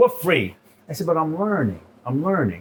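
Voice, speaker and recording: Animated in tone, a man speaks with a New York accent. His pitch swings very widely. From New York City. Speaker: chef and restaurant owner. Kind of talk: casual interview chat. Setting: in his restaurant.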